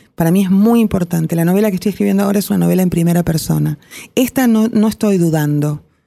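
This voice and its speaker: Her fairly low-pitched voice, dark and mellow in tone, moves at a very fast pace with very even loudness. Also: ordinary pitch variation. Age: 50s. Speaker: novelist and screenwriter. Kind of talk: interview. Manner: halting, with repetitions and fillers.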